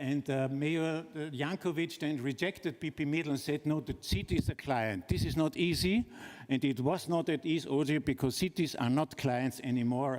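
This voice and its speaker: At a moderate pace, the voice shows ordinary pitch variation and very even loudness. The recording is very clean with a silent background. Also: man, fairly high pitch for a man. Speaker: architect presenting a project. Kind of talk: conference talk. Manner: hesitant, many fillers.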